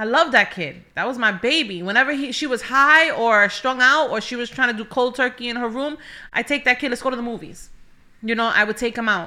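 In a New York accent, a woman speaks at a fairly quick pace in a high, bright, sharp tone with ordinary pitch variation and big swings in loudness, on a very clean recording with a silent background. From New York City (Bronx). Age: 30s. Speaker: church welcome ministry leader. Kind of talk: testimony.

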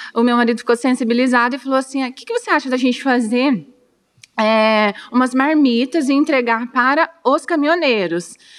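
Her high-pitched voice moves at a fairly quick pace, and this woman's pitch varies in an ordinary way. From Brazil, Dourados (Mato Grosso do Sul). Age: 30s. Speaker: therapist and restaurant owner. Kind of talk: interview.

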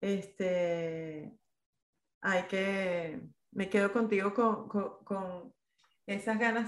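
The woman's voice sits at a medium pitch. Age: 40s. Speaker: podcast host. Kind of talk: casual interview.

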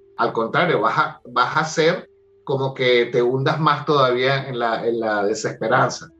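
Male speech at a medium pitch and fairly slow pace, with ordinary pitch variation and music in the background. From Venezuela (Caracas). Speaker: life coach and theatre director. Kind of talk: interview conversation. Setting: at home, remote call. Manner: animated.

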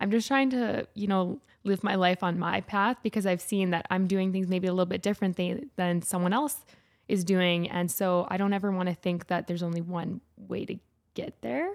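In a Canadian accent, a woman with an unremarkable speaking voice talks at a medium pitch and a moderate pace with ordinary pitch variation. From Alberta, Canada (St. Albert). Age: 20s. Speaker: fashion and commercial model. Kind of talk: casual interview.

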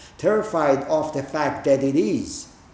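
A man speaks against noticeable background noise. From Israel. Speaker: Zen teacher. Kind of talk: dharma talk.

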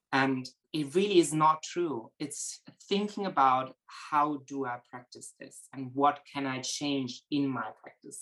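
A man speaks with a German accent at a fairly slow pace. His pitch is fairly high, with ordinary variation. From Germany, Berlin. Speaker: horse trainer. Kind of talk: interview.

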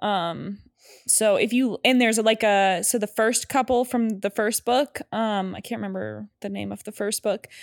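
In an ordinary speaking voice, a woman with a fairly high pitch and fairly even intonation speaks at a moderate pace on a very clean recording with a silent background. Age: 30s. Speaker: podcast co-host. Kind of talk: casual chat.

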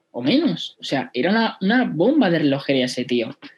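Very wide pitch swings run through this voice. It belongs to a man. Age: 20s. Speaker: e-commerce entrepreneur. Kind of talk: casual interview.

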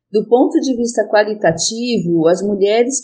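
Somewhat breathy with a dark, mellow tone, a woman of medium pitch speaks fairly slowly with lively intonation. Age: 50s. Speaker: psychologist. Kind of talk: interview.

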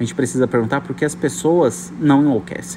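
A man with a medium pitch talks at a fairly quick pace against noticeable background noise. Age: 30s. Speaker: podcast host. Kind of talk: casual monologue. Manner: animated.

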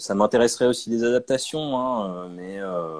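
A man talks with ordinary pitch variation. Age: 30s. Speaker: comic book author and illustrator. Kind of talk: interview. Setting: video call. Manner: halting.

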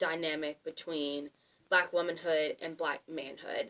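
The pace is fairly slow. The voice itself is an unremarkable speaking voice. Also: woman. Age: 20s. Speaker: student guest. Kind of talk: casual discussion.

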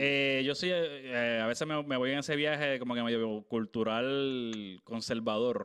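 This is a man with an ordinary speaking voice, medium in pitch, with fairly even intonation and very even loudness. He talks at a fairly slow pace with hardly any pauses. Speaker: podcast host. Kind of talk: casual chat.

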